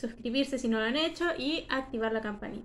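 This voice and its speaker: Her pitch high and varying in an ordinary way, a woman speaks. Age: 20s. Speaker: YouTuber analyzing anime characters. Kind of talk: video commentary / character analysis. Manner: cheerful, occasional laughter.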